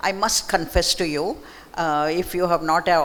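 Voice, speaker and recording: A woman speaks with a Marathi accent. Her pace is moderate and her intonation fairly even. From Mysore, southern India. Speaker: author. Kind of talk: book talk conversation. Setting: library event with audience.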